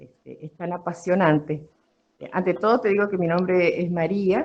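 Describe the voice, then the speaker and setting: A woman speaks at a fairly low pitch and a moderate pace. Her loudness swings widely. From Argentina, Mendoza (Guaymallén). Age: 60s. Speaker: former beekeeper. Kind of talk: interview. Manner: hesitant, many fillers.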